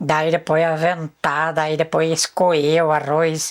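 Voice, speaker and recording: This woman talks very slowly, her pitch very deep and low. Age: 60s. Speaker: rural elder. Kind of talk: life story interview. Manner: halting.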